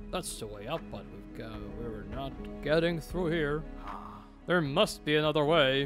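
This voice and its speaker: Over clear background music, a man speaks at a moderate pace with big swings in loudness and long, frequent pauses. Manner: tender, emotional.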